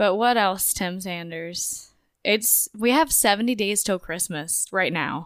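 Over a silent background on a very clean recording, a woman with a normal speaking voice talks at a fairly slow pace, medium pitch and ordinary pitch variation. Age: 20s. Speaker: podcast co-host, pregnant mother. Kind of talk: casual chat.

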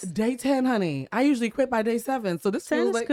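A woman with a fairly high pitch and a dark, mellow tone speaks very fast with lively intonation, in dry, close sound with no echo. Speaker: podcast host. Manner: talks like a newscaster; animated, laughs often.

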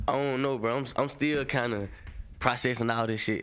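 Moderate pace with audible room echo. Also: man. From South Carolina, Fairfield. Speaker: rapper. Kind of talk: casual interview.

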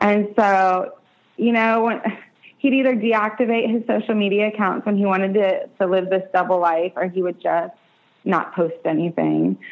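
Against a quiet background, a woman with a plain, everyday voice speaks at medium pitch and a moderate pace, her loudness very even and her intonation fairly even. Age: 30s. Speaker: domestic abuse survivor. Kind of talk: testimony.

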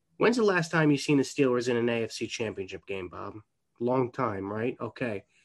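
A man with an American accent speaks in a plain, everyday voice at a medium pitch and moderate pace against a quiet background.

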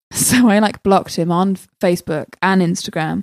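A woman speaks with a southern English accent. The sound is dry and close, with no echo. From southwest England, Swindon. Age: 20s. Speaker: comedian. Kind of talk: casual chat.

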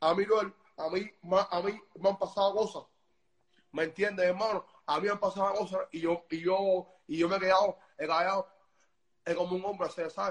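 A man with a high-pitched voice, a moderate pace, long and frequent pauses, and monotone, flat intonation. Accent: Cuban. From Cuba. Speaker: music promoter. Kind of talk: casual interview. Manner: halting, with many repetitions.

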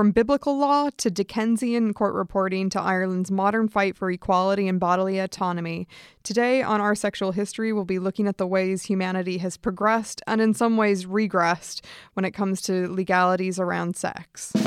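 A woman's normal speaking voice with an American accent, medium pitch, fairly even intonation and a fairly quick pace, dry and close with no echo on a very clean recording with a silent background. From United States. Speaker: podcast host. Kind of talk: casual interview chat.

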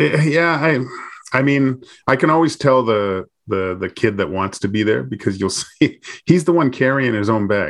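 A man with a plain, everyday voice talks at a medium pitch and a moderate pace. His intonation is lively, and the background is quiet. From Vancouver, Canada. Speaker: former NHL goaltender. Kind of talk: casual chat.

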